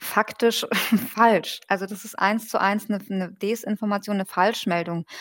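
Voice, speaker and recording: A woman talks at a moderate pace and medium pitch, her intonation monotone and flat. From German-Iranian. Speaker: journalist and political scientist. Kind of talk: interview. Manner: hesitant, many fillers.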